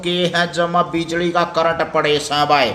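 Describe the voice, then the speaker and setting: A man speaks in a high pitch while noticeable background noise carries on. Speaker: school teacher. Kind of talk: primary school lesson explained to children.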